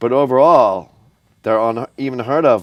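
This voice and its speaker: A man with an American accent speaks with ordinary pitch variation. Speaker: video show host. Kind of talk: casual chat. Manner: fast.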